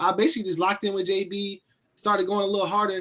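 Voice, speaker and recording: A man's voice, high in pitch, at a very fast pace. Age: 20s. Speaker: track and field athlete. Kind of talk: interview.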